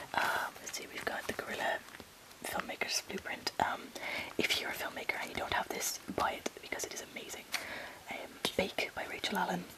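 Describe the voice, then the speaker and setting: A woman whispers at a fairly quick pace, with long, frequent pauses. Noticeable background noise runs underneath. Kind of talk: ASMR room tour. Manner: whispered.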